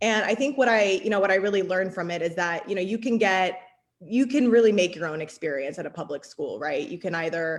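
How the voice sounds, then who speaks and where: On a very clean recording with a silent background, a woman with an American accent talks at a very fast pace with lively intonation. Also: medium pitch for a woman. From Arizona. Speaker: city council candidate. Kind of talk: political forum answer.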